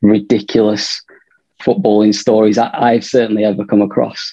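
A man with a northern English accent and a dark, mellow tone, at a moderate pace over a quiet background. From northern England. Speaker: film director. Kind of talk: interview. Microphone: video call.

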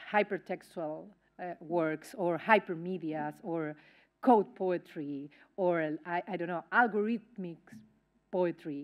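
Very slow speech in a Spanish accent, with ordinary pitch variation over a quiet background. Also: woman. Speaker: academic event moderator. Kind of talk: formal introduction; formal introduction, panel talk. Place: hall.

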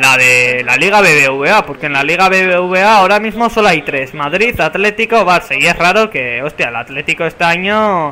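A man with a high pitch, an animated tone and lively intonation, at a moderate pace with hardly any pauses. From San Sebastián, Basque Country, Spain. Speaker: gaming YouTuber. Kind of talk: casual gameplay commentary. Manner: animated, play-by-play commentary.

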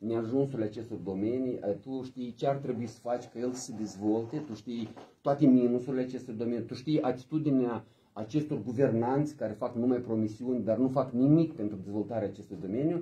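With a dark, mellow tone and a somewhat breathy quality, a man speaks at medium pitch and a fairly quick pace with ordinary pitch variation. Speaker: party politician and live stream host. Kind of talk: casual live stream chat, bilingual Romanian and Russian. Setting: office, live video stream. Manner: animated, energetic. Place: meeting room. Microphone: phone near.

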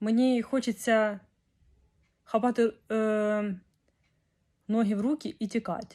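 The recording is very clean, with a silent background. A woman speaks fairly slowly at a fairly high pitch. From Ukraine, Kyiv. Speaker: vlogger. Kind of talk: video diary.

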